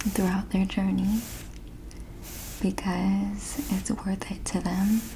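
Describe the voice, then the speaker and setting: Very slow, soft-spoken delivery with a gentle tone. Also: woman. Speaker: ASMR creator. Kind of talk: ASMR nurse roleplay, personal attention. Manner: soft-spoken, gentle.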